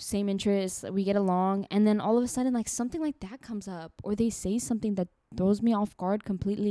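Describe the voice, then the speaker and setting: Talking at a very fast pace with a non-native accent, a woman uses a medium pitch and ordinary pitch variation. Her sound is dry and close with no echo. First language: not English. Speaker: podcast co-host. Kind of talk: casual chat.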